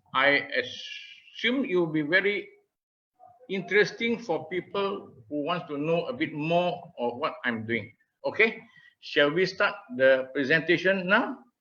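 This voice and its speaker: Lively intonation marks this man's speech in a Malaysian accent. His pitch is high and his tone is bright and sharp. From Malaysia, Malacca. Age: 70s. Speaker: retired marketing professional. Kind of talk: presentation.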